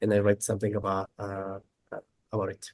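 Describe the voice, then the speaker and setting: The voice belongs to a man and sits fairly low. It has a dark, mellow tone. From Bolivia. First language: Spanish. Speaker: solution-focused teacher and researcher. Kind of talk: casual chat. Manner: halting.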